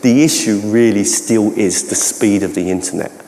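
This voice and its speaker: A man speaks with a Cockney accent. Audible room echo surrounds his voice. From London (Cockney). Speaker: educational technology trainer and keynote speaker; presenter. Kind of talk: conference Q&A. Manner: halting, many false starts. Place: hall.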